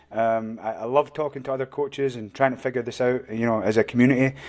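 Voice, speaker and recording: Against a quiet background, the speaker talks with fairly even intonation in a Scottish accent. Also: man. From Scotland. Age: old. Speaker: martial arts coach. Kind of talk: podcast interview.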